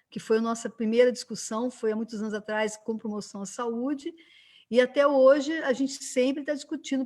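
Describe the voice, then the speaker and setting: A woman's high-pitched voice at a fairly quick pace, with a quiet background. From Brazil, Minas Gerais (Juiz de Fora). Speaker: physician and lecturer, civic council member. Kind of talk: online panel discussion. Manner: conversational, many fillers (né).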